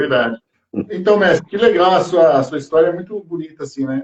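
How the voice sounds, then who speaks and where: A high-pitched man's voice with lively intonation. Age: 50s. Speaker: podcast host, musician. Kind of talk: casual interview. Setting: online live stream.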